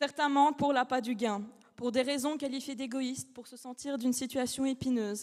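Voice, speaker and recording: At a moderate pace, a woman with a non-native accent speaks in a high voice with ordinary pitch variation. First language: not French (speaking French). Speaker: law student, eloquence contest finalist. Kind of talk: speech contest oration. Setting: stage with audience. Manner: halting, self-correcting.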